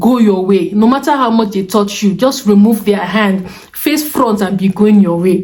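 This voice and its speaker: Room echo is audible as a woman at medium pitch speaks at a fairly slow pace. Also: very even loudness. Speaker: vlogger. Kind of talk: casual vlog talk. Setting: indoors at home, windows closed.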